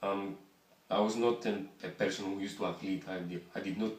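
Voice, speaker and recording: Audible room echo surrounds the recording. A man speaks in a Greek accent. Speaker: voice therapy patient. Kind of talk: interview. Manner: halting.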